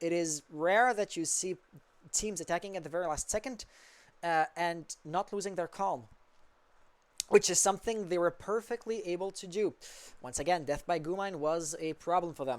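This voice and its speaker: In a Quebec accent, the speaker leaves long, frequent pauses on a very clean recording with a silent background. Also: moderate pace. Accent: French Canadian accent in English. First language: French. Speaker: esports caster. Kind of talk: live commentary.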